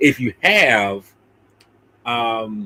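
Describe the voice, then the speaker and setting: Lively intonation and a bright, sharp tone. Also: man. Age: 50s. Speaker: podcast host discussing films. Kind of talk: casual chat. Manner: halting, many fillers and restarts.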